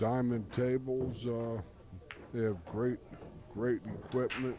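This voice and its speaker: At a very slow pace, a man of medium pitch speaks in a monotone, flat way, with audible room echo. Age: 70s. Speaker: pool commentator. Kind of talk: live commentary. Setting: commentary booth at pool hall. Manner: halting.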